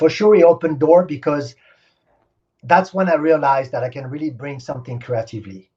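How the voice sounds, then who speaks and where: In a French accent, a man speaks with a dark, mellow tone and a somewhat breathy voice over a quiet background. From Senegal. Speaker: stunt helicopter pilot. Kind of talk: interview. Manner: animated.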